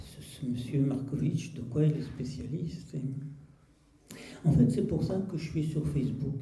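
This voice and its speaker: A man speaks at a fairly slow pace with ordinary pitch variation, and some room echo can be heard. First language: Russian (speaking French). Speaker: poet and translator. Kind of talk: public talk.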